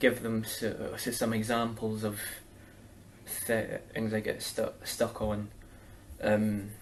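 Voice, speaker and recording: A man with a Scottish accent speaks at a very slow pace, with long, frequent pauses. His medium-pitched voice stays monotone and flat. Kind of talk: interview answer.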